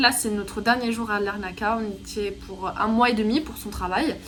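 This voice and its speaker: Amid noticeable background noise and audible room echo, a woman with a fairly high pitch talks at a moderate pace. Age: 20s. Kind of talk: casual vlog. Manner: casual, filler-heavy.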